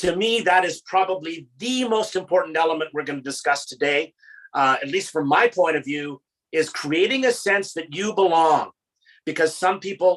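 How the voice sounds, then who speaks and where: With a Canadian accent, a man talks at a moderate pace in a high pitch with lively intonation. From Canada. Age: 60s. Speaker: motivational speaker. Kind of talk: panel talk.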